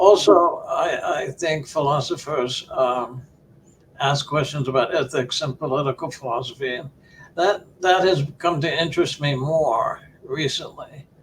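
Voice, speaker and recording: A man with an American accent at a fairly slow pace over noticeable background noise. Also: fairly high pitch for a man, ordinary pitch variation. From US Midwest, Ohio. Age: 70s. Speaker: philosophy professor. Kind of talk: interview. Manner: halting, many repeated words.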